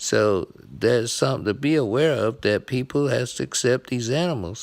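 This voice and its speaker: A man's medium-pitched, unremarkable speaking voice with ordinary pitch variation, in a very clean recording with a silent background. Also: moderate pace. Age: 60s. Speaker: blind veteran sports vlogger. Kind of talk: casual monologue.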